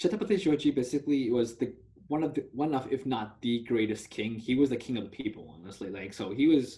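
A man speaks very fast at medium pitch, somewhat breathy, with a dark, mellow tone and lively intonation. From US (Dallas), moved from Telangana, India at age 4-5. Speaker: university student. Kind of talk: casual interview discussion.

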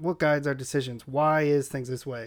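In an American accent, a man talks with fairly even intonation in an ordinary speaking voice. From San Diego, California. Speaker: podcast guest. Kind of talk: casual chat.

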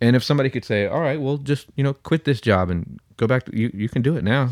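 Here a man has a normal speaking voice at a medium pitch with ordinary pitch variation. The sound is dry and close, with no echo. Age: 20s. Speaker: podcast co-host. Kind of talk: casual chat.

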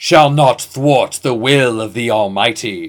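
Loud and at a fairly slow pace, a man performs a put-on character voice at a medium pitch. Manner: fuming, shouting, preachy.

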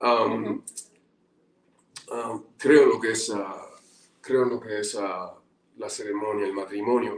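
Speaking at a very slow pace with long, frequent pauses, a man swings widely in loudness. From Cuba. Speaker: actor. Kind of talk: casual interview. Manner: halting, many fillers.

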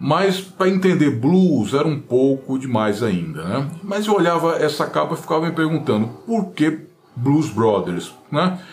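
A man's fairly high, somewhat breathy voice with lively intonation, a fairly slow pace, hardly any pauses, and audible room echo. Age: 50s. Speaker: guitar YouTuber. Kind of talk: casual monologue.

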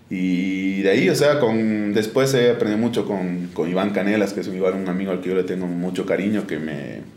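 A man with a fairly low pitch and ordinary pitch variation talks at a fairly quick pace with hardly any pauses. Audible room echo and noticeable background noise fill the recording. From Bolivia, Oruro. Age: 20s. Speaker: sports photographer. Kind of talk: interview. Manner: halting, many repetitions and fillers.

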